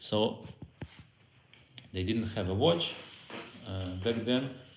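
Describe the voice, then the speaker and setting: Through audible room echo and noticeable background noise, a man speaks in a fairly low voice with a Russian accent and ordinary pitch variation. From Belarus. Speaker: Torah teacher. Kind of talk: lecture. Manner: halting.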